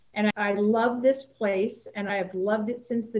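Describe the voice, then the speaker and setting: Speaking with an American accent, a woman has a somewhat breathy voice and a fairly high pitch. Her pace is moderate. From Salinas, California. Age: 60s. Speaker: high school athletic director. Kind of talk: interview.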